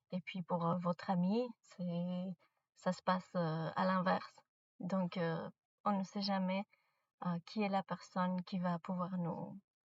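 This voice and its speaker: A woman with a non-native accent speaks at a very slow pace with long, frequent pauses. Her voice is somewhat breathy, with monotone, flat intonation. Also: medium pitch for a woman. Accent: non-native French, out of practice. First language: not French; mainly speaks English and Spanish (speaking French). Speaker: spiritual content creator. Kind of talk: casual spiritual advice monologue. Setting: in a car. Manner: halting, many hesitations.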